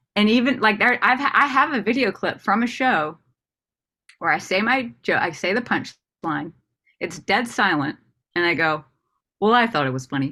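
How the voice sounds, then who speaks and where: A woman with an American accent, a medium pitch and a bright, sharp, animated tone, with very wide pitch swings and long, frequent pauses. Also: moderate pace. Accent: Southern, thick when nervous on stage. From US South. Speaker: comedian. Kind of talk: casual interview chat.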